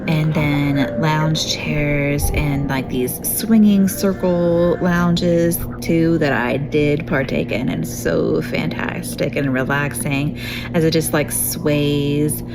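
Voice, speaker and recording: Over music in the background and audible room echo, a woman speaks at a very slow pace with very even loudness. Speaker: vlogger. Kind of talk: travel vlog review. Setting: outdoors on a cruise ship spa deck. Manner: soft-spoken. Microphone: action camera mic, sound may be poor.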